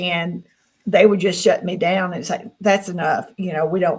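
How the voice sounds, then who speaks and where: Somewhat breathy woman's voice at a medium pitch, with a Southern US accent and a moderate pace. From US South. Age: 60s. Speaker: experiencer guest. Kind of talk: interview.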